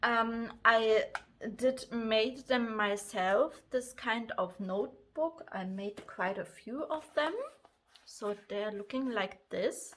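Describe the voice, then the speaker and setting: A woman speaks with a German accent at a very slow pace. Her pitch is fairly high, with ordinary pitch variation. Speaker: crafts and planner vlogger. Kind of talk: casual vlog talk. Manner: halting, many fillers.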